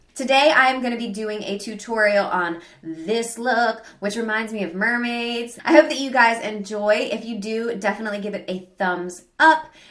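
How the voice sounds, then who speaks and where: A woman's fairly high voice with ordinary pitch variation, big swings in loudness and hardly any pauses, amid noticeable background noise and audible room echo. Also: moderate pace. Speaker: beauty and lifestyle video maker. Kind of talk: casual video intro.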